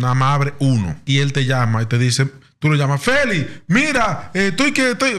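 With lively intonation, a man speaks at a fairly high pitch and a moderate pace. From Dominican Republic. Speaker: podcast host; podcast guest. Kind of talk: casual chat. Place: studio. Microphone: studio mic.

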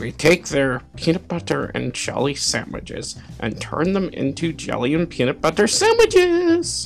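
Over clear background music, a man puts on a character voice at a moderate pace. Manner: theatrical.

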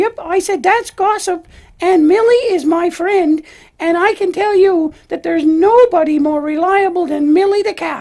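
An extremely high, cartoonish character voice that sounds female. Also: moderate pace. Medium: puppet show. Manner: earnest, gushing.

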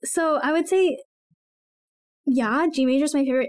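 A woman's voice against a quiet background. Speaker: podcast co-host. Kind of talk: casual podcast Q&A chat. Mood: warm, laughing. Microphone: studio mic.

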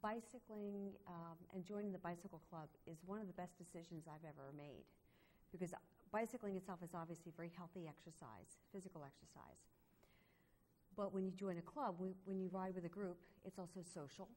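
Speaking at a fairly quick pace with long, frequent pauses, a woman keeps a fairly low pitch and fairly even intonation. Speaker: cycling club member. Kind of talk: interview.

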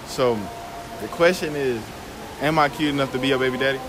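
Over clear background noise, the speech runs at a fairly quick pace with fairly even intonation. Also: man, medium pitch for a man.

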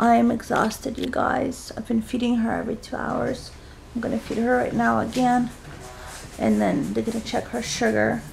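A woman speaks at a moderate pace over light background noise. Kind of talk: casual vlog chat. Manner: exhausted, drowsy low voice. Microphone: phone near.

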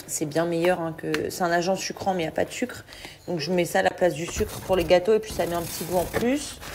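Noticeable background noise behind a woman speaking at a fairly quick pace. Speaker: family vlogger. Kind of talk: casual vlog chat. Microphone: phone near.

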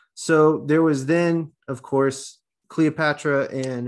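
The man's intonation is fairly even, and the background is quiet. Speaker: Bible study presenter; presenter. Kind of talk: Bible study discussion. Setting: video call. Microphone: video call.

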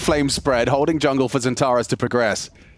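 A man speaks at a medium pitch with ordinary pitch variation, music playing in the background. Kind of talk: esports commentary.

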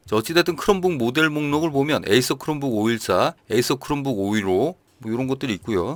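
An ordinary speaking voice belonging to a man comes at a moderate pace with medium pitch and lively intonation, on a very clean recording with a silent background and a dry, close sound with no echo. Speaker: gaming news youtuber. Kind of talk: news roundup with casual commentary. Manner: conversational.

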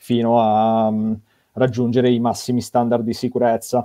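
Medium-pitched male speech with a monotone, flat intonation. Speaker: event moderator. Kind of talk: live stream moderation. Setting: video call.

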